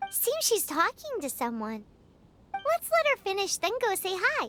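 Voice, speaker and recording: A squeaky, put-on character voice sits at an extremely high pitch and swings very widely up and down. It moves along at a moderate pace. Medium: video game.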